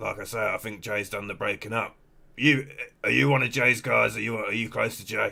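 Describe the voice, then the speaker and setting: Using a put-on character voice, a man speaks raspy and fairly quick at a medium pitch, with big swings in loudness. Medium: game stream. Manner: dry, sarcastic, unbothered.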